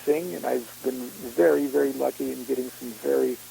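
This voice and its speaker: A man talks, and noticeable background noise can be heard. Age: 60s. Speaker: occult author and speaker. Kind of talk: casual interview chat. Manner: halting, many fillers.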